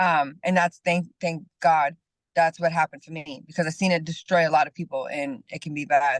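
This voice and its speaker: A woman with an ordinary speaking voice talks at a moderate pace in a fairly low pitch, with fairly even intonation, big swings in loudness, and a dry, close sound with no echo. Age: 30s. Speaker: personal trainer and life coach. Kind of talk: interview.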